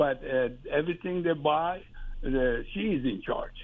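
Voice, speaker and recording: This woman speaks with a Persian accent. Her pitch is very deep and low. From Iran. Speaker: caller. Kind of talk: advice call.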